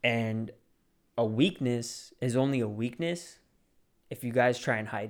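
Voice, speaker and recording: Speaking at a fairly slow pace, a man uses a medium pitch with ordinary pitch variation. He takes long, frequent pauses. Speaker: podcast host, aspiring real estate agent. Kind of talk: motivational talk. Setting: solo recording at a mic. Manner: casual, conversational.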